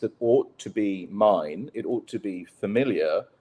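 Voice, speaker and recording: A man speaks with a British accent. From British expat, raised mostly abroad. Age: 50s. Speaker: writer and former journalist. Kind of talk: casual interview. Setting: live online show.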